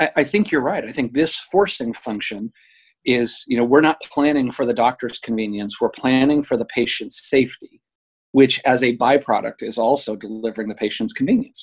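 A man's normal speaking voice, medium in pitch, at a moderate pace with ordinary pitch variation, the sound dry and close with no echo. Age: 50s. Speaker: healthcare PR executive. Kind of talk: interview.

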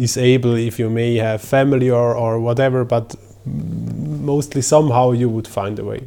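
A man at a medium pitch talks at a moderate pace with fairly even intonation, and noticeable background noise can be heard. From Switzerland. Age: 30s. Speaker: long-distance bicycle tourer. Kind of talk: casual interview.

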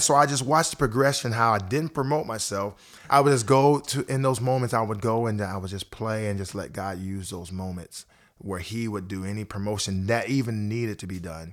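A man with an American accent speaks at a fairly quick pace with lively intonation, in an ordinary speaking voice. The recording is very clean, with a silent background. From Ohio, US Midwest. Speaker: worship pastor. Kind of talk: casual interview. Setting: studio.

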